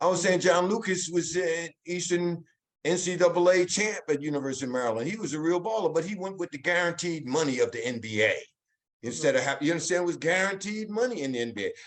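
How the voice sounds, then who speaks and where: A man with an American accent talks at a very fast pace in a high voice. His intonation is lively. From New Jersey (Elizabeth). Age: 70s. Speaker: tennis coach. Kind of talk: panel discussion. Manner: animated.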